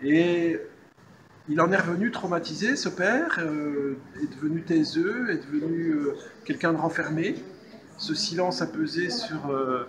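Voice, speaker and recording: Over noticeable background noise and audible room echo, a man speaks at a very slow pace. His voice is high-pitched, with ordinary pitch variation. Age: 60s. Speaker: novelist. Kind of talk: interview. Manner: halting.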